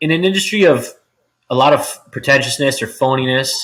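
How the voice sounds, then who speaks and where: Loud and at a moderate pace, the voice has a bright, sharp tone and a Canadian accent. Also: man. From Ontario, Canada (Richmond Hill). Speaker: real estate agent. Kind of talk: podcast interview.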